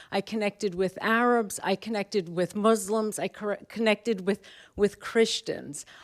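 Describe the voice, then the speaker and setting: Recorded very cleanly against a silent background, a woman with a New York accent talks at a medium pitch with fairly even intonation in a dry, close sound with no echo. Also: moderate pace. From New York, Brooklyn. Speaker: professor. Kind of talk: panel talk. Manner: halting.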